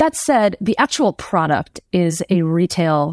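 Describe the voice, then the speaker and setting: A plain, everyday voice from a woman, fairly low in pitch with ordinary pitch variation, dry, close sound with no echo, and a very clean recording with a silent background. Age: 30s. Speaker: journalist and author. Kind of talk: interview.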